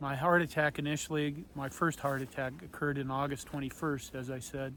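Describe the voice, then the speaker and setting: A man with a plain, everyday voice, fairly high-pitched, at a fairly quick pace. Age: 50s. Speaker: heart attack and brain injury survivor; IT consultant. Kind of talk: casual talk to camera. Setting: outdoors.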